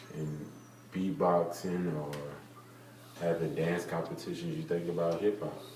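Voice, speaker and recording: Amid noticeable background noise and audible room echo, a man with an American accent and a very deep, low pitch speaks at a fairly slow pace, with ordinary pitch variation and long, frequent pauses. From US South, Marietta, Georgia. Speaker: interviewee. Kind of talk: interview.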